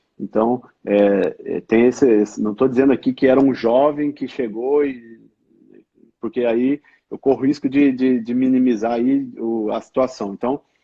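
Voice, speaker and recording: With an interior São Paulo accent, a man speaks at medium pitch and a fairly slow pace, his intonation fairly even. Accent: caipira accent of interior São Paulo. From Cruzeiro, São Paulo state interior, Brazil. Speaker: hospital IT executive. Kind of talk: live-stream interview.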